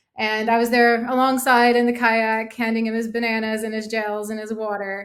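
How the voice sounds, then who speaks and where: With a Southern US accent, a woman speaks at a moderate pace in a fairly high pitch, using monotone, flat intonation and hardly any pauses. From US South, North Alabama. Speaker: challenge participant. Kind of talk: interview.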